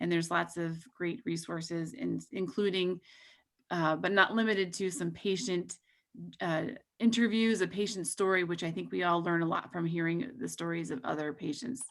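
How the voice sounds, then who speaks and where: A woman with a fairly low pitch uses a plain, everyday voice, talking at a moderate speed. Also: ordinary pitch variation. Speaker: pharmaceutical company representative. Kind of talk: presentation. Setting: video call.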